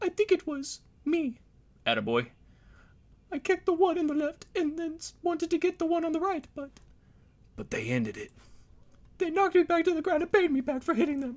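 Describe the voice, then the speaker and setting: Putting on a character voice with an extremely high pitch, a man talks at a fairly quick pace broken by long, frequent pauses. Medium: game stream. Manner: reproachful.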